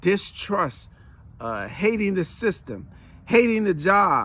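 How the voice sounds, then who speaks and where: A man's raised, projected voice, high-pitched with a bright, sharp tone, lively intonation and a very slow pace. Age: 60s. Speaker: podcast co-host, speaker and coach. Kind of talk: casual chat.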